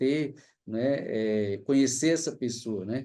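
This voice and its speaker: At a fairly slow pace, a man speaks in a dark, mellow tone with a Cearense accent. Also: quiet background. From Fortaleza, Ceará, Brazil. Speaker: anthropology professor. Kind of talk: lecture. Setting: livestream.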